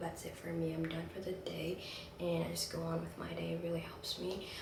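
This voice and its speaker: Noticeable background noise behind speech at a moderate pace. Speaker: lifestyle vlogger. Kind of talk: casual vlog talk. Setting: in bedroom. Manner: quiet, trying not to wake someone; animated.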